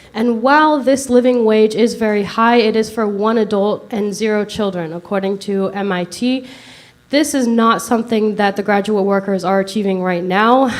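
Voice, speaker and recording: The voice moves at a moderate pace with ordinary pitch variation over noticeable background noise. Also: woman, fairly high pitch for a woman. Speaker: graduate teaching assistant. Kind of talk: public comment. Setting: meeting podium. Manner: formal.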